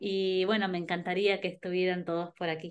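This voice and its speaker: The background stays quiet while a woman speaks. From Argentina, Buenos Aires (early years in Ayacucho); Buenos Aires, Argentina. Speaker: singer; interviewee. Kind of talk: interview; interview answer. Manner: halting, many repetitions and fillers. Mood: warm, friendly. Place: home room. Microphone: video call.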